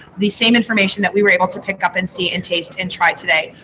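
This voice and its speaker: Over noticeable background noise, a woman rattles along at a very fast pace with lively intonation. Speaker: school food service consultant. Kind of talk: live webinar presentation. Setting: convention center.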